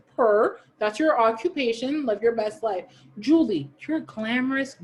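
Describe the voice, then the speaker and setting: Loud and animated, a woman speaks at a moderate pace. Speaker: podcast co-host. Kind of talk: casual chat.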